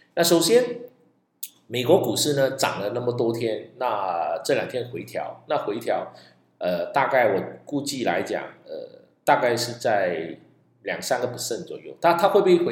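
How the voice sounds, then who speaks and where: A man talks at a moderate pace, his loudness swinging widely, with audible room echo. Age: 50s. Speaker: stock investing podcaster. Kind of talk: solo podcast monologue.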